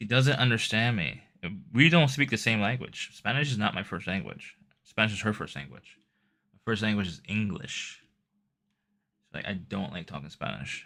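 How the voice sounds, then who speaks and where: A man mumbles at a moderate pace with long, frequent pauses, vocal fry and lively intonation. His pitch is fairly low, his tone bright and sharp, and the recording is very clean with a silent background. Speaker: IRL live streamer. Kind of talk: casual chat. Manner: mumbling.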